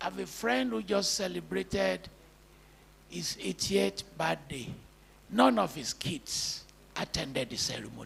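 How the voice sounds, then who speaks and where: Pauses are long and frequent as a man talks fairly slowly with vocal fry. His pitch swings very widely. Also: medium pitch for a man. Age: 70s. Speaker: professor. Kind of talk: public lecture.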